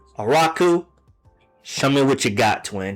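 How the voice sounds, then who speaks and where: A man talks with a medium pitch and ordinary pitch variation. Background music can be heard. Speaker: streamer reacting to videos. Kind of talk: casual live stream chat. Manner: loud.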